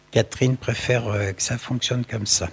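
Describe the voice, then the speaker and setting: A man is speaking. Noticeable background noise is audible. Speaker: interviewer, husband of guest. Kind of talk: interview questions.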